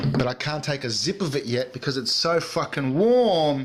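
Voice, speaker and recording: With music in the background, a man with an Australian accent speaks at a moderate pace in a fairly high pitch with ordinary pitch variation. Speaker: podcast host. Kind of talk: casual chat. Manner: animated.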